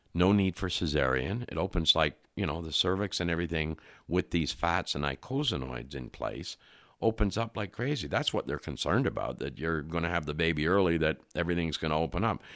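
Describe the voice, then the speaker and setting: On a very clean recording with a silent background, a man with a very deep, low pitch and vocal fry talks at a fairly quick pace with lively intonation. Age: 70s. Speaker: nutrition and fatty acid expert. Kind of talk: podcast interview.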